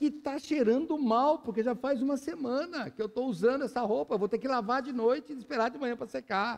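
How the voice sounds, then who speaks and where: This man has an extremely high pitch with ordinary pitch variation. He talks at a fairly quick pace with hardly any pauses. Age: 60s. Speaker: pastor. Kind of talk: sermon. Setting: church.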